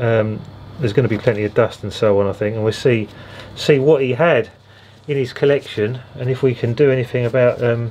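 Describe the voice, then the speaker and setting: A man's medium-pitched voice at a fairly quick pace with ordinary pitch variation, over noticeable background noise. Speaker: record collector vlogger. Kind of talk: casual vlog. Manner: hesitant, many fillers.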